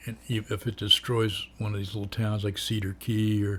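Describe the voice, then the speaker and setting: On a very clean recording with a silent background, a man with a fairly low pitch speaks in a somewhat breathy, monotone, flat way. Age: 70s. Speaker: vlogger. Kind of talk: casual monologue. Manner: rambling with fillers.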